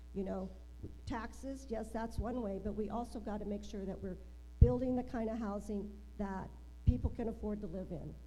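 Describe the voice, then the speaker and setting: Big swings in loudness mark this moderate-paced speech, heard with audible room echo. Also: woman. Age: 60s. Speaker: political candidate. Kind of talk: candidate forum answers. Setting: public forum with audience.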